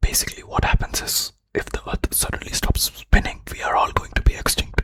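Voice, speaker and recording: Someone whispers in a calm tone. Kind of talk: ASMR educational fact explainer. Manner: whispered; soft-spoken, calm.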